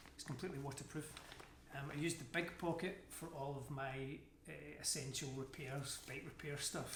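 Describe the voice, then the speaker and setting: A man's fairly high voice in a Scottish accent, moderate in pace and fairly even in intonation, over noticeable background noise. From Scotland. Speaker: amateur endurance athlete. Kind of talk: casual talk to camera, gear review.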